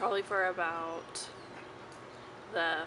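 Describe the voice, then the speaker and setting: There is noticeable background noise and audible room echo as a woman talks. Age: 20s. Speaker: vlogger, young widow. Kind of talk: personal testimony vlog. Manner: halting.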